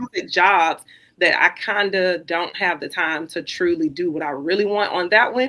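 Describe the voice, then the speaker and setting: With a Southern US accent, a woman speaks at a fairly low pitch and with ordinary pitch variation. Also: moderate pace. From Columbus, Georgia, US South. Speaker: teacher and content creator. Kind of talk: interview conversation. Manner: eloquent, professional-sounding.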